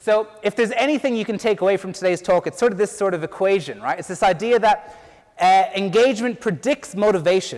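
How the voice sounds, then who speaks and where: Against noticeable background noise, a man with an Irish accent speaks at a high pitch with ordinary pitch variation. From Ireland. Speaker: PhD researcher and teacher. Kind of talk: conference talk.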